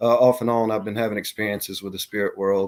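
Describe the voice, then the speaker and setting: This man has a medium-pitched voice with a Southern US accent and fairly even intonation. The recording is very clean and the background silent. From US South, Mississippi (Gulfport, Jackson). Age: 40s. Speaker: bigfoot and paranormal witness. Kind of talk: interview testimony. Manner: halting, many fillers.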